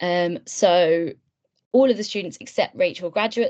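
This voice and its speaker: Her pace stays moderate. This woman talks in a British accent. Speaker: webinar tutor, medical student mentor. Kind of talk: online tutorial webinar. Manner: hesitant, many fillers.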